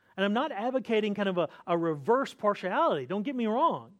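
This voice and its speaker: A North Carolina accent over a quiet background. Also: man. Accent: Southern US (North Carolina). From US South, North Carolina. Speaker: pastor. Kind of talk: sermon. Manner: repeats and restarts words.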